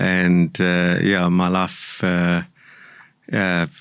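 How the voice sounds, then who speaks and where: A man with a South African accent speaks at a very deep, low pitch. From South Africa, Durban. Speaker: entrepreneur and mentor. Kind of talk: interview conversation.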